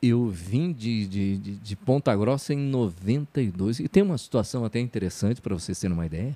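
At a moderate pace, a man speaks with a dark, mellow tone at medium pitch and lively intonation. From Paraná, Brazil (Telêmaco Borba). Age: 50s. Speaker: radio announcer and sports narrator. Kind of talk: casual interview chat.

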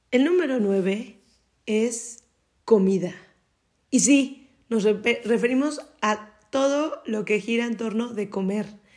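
A woman's very slow speech with long, frequent pauses, a fairly high pitch and ordinary pitch variation. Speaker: podcast co-host. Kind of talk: casual chat.

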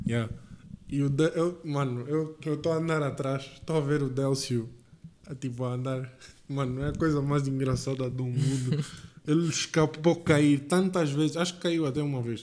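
A man with a normal speaking voice talks at a moderate pace, fairly high in pitch and fairly even in intonation. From Angola, Lubango. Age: 20s. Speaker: podcast co-host, engineering student. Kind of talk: casual chat.

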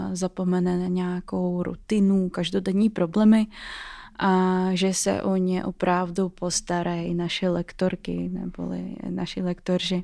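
The speaker has a dark, mellow tone and a monotone, flat delivery at a fairly slow pace, on a very clean recording with a silent background. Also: woman. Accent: Russian. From Russia. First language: Russian (speaking Czech). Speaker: student and startup co-founder. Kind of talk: interview.

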